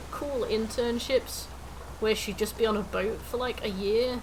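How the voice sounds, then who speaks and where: A woman talks at a fairly slow pace. Room echo is audible, and there is noticeable background noise. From England, Nottingham. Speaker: gaming streamer. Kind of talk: casual chat. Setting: live stream.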